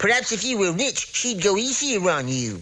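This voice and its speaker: A man puts on a high-pitched, cartoonish character voice over noticeable background noise. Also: moderate pace. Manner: folksy, genial.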